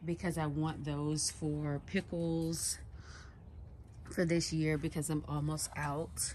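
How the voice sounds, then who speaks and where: Quiet and somewhat breathy, a woman speaks at a very slow pace in a very deep, low pitch, her tone dark and mellow, her intonation monotone and flat, her loudness very even. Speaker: home gardening vlogger. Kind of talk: casual garden tour vlog. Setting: outdoors in backyard garden. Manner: quiet, low voice.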